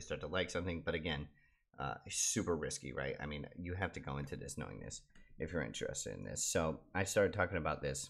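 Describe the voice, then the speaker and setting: A quiet man speaks at a very fast pace, with vocal fry and ordinary pitch variation. The recording is very clean, with a silent background. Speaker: crypto YouTuber. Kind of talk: casual commentary video. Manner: quiet, low voice; hesitant, many fillers.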